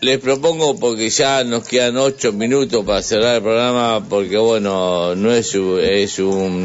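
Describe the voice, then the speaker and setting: A man's pitch shifts in an ordinary way while noticeable background noise carries on. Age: 50s. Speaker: radio host. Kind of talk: casual chat. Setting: studio. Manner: halting.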